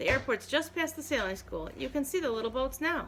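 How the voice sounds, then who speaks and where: Using a put-on character voice, a woman speaks at a fairly quick pace over clear background noise. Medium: read story.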